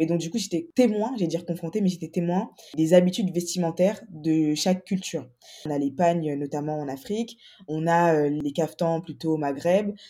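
A woman talks at a moderate pace in a fairly low register. Her tone is dark and mellow, with ordinary pitch variation. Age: 20s. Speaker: entrepreneur. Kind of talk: casual chat.

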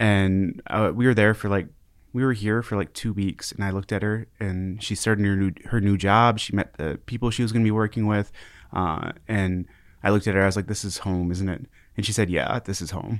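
A man with an Upper Midwest accent, fairly low in pitch, at a fairly quick pace and with fairly even intonation, on a very clean recording with a silent background. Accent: Upper Midwest American. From Minnesota, Minneapolis suburbs. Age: 30s. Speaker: community organization director. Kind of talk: casual interview.

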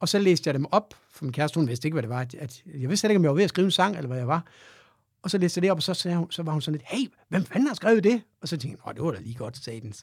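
High pitch for a man, a very fast pace, and a very clean recording with a silent background. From Denmark, Aarhus. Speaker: rock guitarist and singer. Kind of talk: casual interview.

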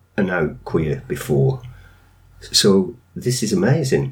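A man with a Lancashire accent speaks at medium pitch. Noticeable background noise is present. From northern England. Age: 60s. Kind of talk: interview.

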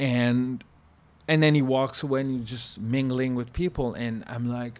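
A man with a French-Canadian accent, medium pitch, fairly even intonation and a moderate pace. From Quebec. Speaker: former chef. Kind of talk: casual chat.

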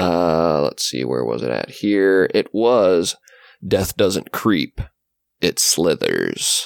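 Very deep and low, a man's voice moves at a very slow pace with lively intonation. The sound is dry and close, without echo. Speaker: podcast co-host. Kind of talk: casual chat.

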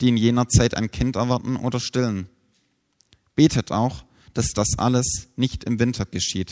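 A man at a medium pitch and moderate pace, with long, frequent pauses, in a dry, close sound with no echo and a quiet background. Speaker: preacher. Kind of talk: sermon, preacher addressing a congregation, teaching and explaining scripture. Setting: church. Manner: earnest, measured and explanatory, then solemn when reading scripture.

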